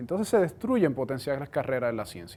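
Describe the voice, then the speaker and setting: A man speaks with a Puerto Rican accent. His pitch is medium for a man. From Puerto Rico. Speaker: cell biology professor. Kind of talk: science outreach talk.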